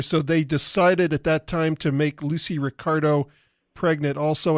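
An ordinary speaking voice moves at a moderate pace with fairly even intonation, the sound dry and close with no echo. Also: man. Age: 50s. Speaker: radio host. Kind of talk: interview. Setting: studio.

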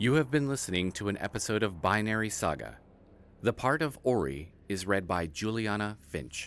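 A man's fairly low voice, an ordinary speaking voice, at a moderate pace with lively intonation, on a very clean recording with a silent background. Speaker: narrator. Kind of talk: scripted narration.

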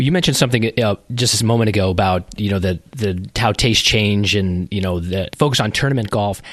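In a plain, everyday voice, a man talks fairly quickly and at a fairly low pitch, with ordinary pitch variation and hardly any pauses. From Colorado. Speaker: golf podcast host. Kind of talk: interview.

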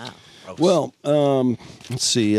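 In an unremarkable speaking voice, a man talks at a medium pitch with ordinary pitch variation, the sound dry and close with no echo. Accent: American. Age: 60s. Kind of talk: casual chat. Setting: studio.

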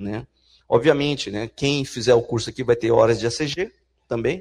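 A man is speaking. The background is quiet. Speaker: university professor. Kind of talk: lecture. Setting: stage with audience. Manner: animated.

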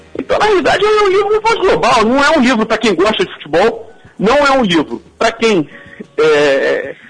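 There is music in the background as a man speaks. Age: 40s. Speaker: teacher and author. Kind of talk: interview.

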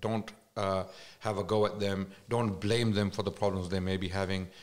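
A man speaks with a Pakistani accent. His pitch is fairly low and his pace moderate. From Islamabad, Pakistan. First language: Urdu. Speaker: Islamic scholar and speaker. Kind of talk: casual podcast interview.

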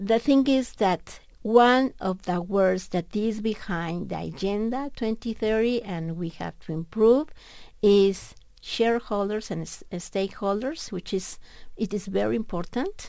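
Medium pitch and a dark, mellow tone from a woman with a Mexican accent, fairly slow in pace, in a very clean recording with a silent background. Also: ordinary pitch variation. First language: Spanish. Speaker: economics professor. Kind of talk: radio interview. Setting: radio studio. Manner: halting.

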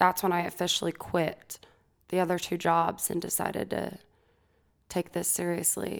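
A woman talks at a fairly slow pace with vocal fry and a fairly low pitch. Her intonation stays monotone and flat, broken by long, frequent pauses. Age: 20s. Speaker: singer-songwriter. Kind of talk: casual interview chat. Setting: studio.

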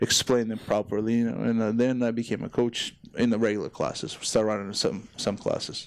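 Speaking in a Ukrainian accent, a man holds a medium pitch and a moderate pace. His intonation is fairly even, on a very clean recording with a silent background. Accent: Ukrainian accent, noticeable. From Ukraine. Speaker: CrossFit gym owner and coach. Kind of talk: casual chat. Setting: studio. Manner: halting, non-native phrasing.

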